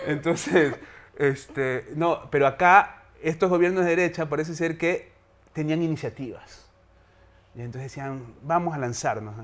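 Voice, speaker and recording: A man at a fairly high pitch and fairly slow pace, with ordinary pitch variation and long, frequent pauses. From Ecuador, Guayaquil; Ecuador. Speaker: theatre director and university teacher; teacher. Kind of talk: interview. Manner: hesitant, many fillers. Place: studio.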